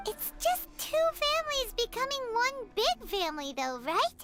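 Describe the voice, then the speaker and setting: A squeaky put-on character voice at an extremely high pitch, with very wide pitch swings, a moderate pace and loud music in the background. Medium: video game. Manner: casual, direct.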